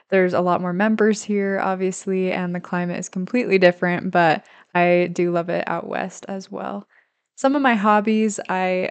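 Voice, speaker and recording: In a quiet background, a woman of medium pitch keeps fairly even intonation at a moderate pace. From US Midwest, St. Louis, Missouri. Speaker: student and podcaster. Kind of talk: pre-recorded introduction. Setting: pre-recorded separately.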